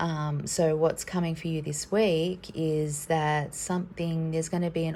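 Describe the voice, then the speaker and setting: A woman with a very deep, low pitch speaks in a dark, mellow, somewhat breathy tone, her intonation monotone and flat. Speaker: tarot card reader. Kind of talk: card reading for viewers. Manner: hesitant, many fillers; casual.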